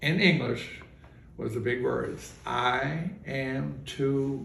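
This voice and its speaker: An American accent amid noticeable background noise and audible room echo. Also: man. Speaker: retired bar owner and process server. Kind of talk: storytelling in casual interview. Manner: halting, many fillers.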